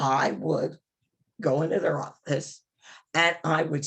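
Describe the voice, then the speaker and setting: A woman's very deep, low voice with vocal fry, a very slow pace and ordinary pitch variation. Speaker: advocacy trainer and policy strategist. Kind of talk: training session. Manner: animated.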